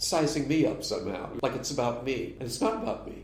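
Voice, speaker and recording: Amid noticeable background noise and audible room echo, a man with an American accent speaks at a fairly high pitch. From US, Berkeley, California. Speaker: psychotherapist and jazz drummer. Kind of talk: interview. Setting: podcast interview.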